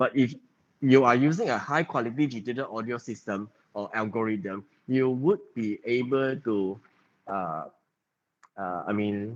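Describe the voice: At a fairly slow pace, a man talks with a medium pitch and ordinary pitch variation.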